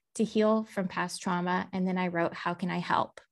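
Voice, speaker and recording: An ordinary speaking voice from a woman with an American accent, moderate in pace with fairly even intonation, in a very clean recording with a silent background. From Texas. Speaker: artist and musician. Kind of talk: interview conversation.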